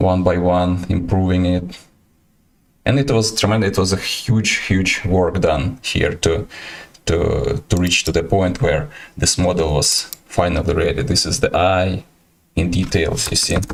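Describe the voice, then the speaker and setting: In a Ukrainian accent, a man speaks at a very deep, low pitch and a fairly slow pace. His loudness stays very even, with ordinary pitch variation. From Ukraine. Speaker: artist and iguana keeper streaming. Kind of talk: livestream presentation and Q&A. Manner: halting, many hesitations.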